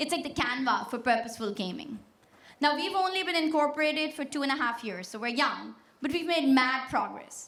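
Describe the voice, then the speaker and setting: A woman's high, lively voice in a Pashto accent at a fairly quick pace, with audible room echo. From Pakistan. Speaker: tech startup founder. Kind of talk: keynote speech. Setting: stage with audience. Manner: energetic, confident.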